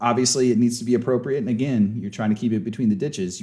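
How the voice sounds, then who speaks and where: Here a man speaks in a dark, mellow tone. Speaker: sports coach and leadership trainer. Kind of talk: lecture. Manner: loud; casual, conversational.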